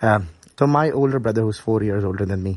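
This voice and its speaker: A man speaks in a somewhat breathy voice. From Pakistan, Karachi. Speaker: paediatrician. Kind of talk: interview.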